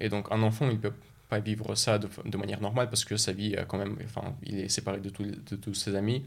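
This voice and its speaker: A man's fairly low, monotone voice at a fairly quick pace, broken by long, frequent pauses, the intonation flat. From Russia (Moscow, Chechen family), moved to France at 12. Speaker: engineering student. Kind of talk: interview.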